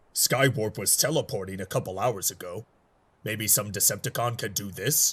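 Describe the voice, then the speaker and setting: A man speaks in a put-on character voice. His pitch sits fairly low, and the pace is moderate. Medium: audio drama. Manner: curt, clipped.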